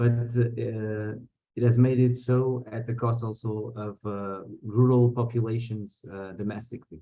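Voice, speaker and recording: A man speaks in a Portuguese accent with a dark, mellow tone at medium pitch. His delivery is fairly slow and flat, in a monotone. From Portugal. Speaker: activist. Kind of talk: conference talk. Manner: halting, many fillers and repetitions.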